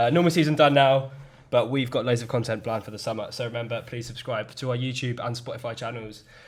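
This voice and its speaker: In a very clean recording with a silent background, a man talks at a very fast pace in a somewhat breathy voice with big swings in loudness. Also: medium pitch for a man, fairly even intonation. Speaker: podcast host. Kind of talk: casual chat. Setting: studio.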